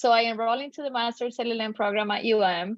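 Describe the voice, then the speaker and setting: With a Spanish accent, a woman talks at a fairly quick pace, her fairly high pitch showing ordinary variation. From Colombia. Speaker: tax attorney. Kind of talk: podcast interview.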